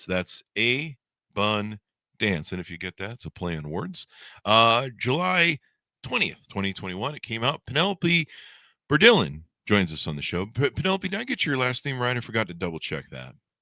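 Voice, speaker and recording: A man with a bright, sharp tone and vocal fry speaks at medium pitch, swinging very widely in pitch and greatly in loudness, in a very clean, dry, close recording with no echo and a silent background. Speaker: show host, interviewer. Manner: fast talker.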